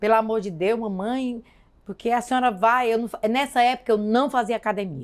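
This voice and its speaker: Her pitch is fairly high, in a plain, everyday voice. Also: ordinary pitch variation, fairly quick pace. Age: 60s. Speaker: woman of faith sharing her testimony. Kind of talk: testimony.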